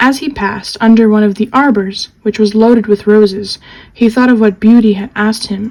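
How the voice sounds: The delivery is a natural reading voice whose intonation stays fairly even.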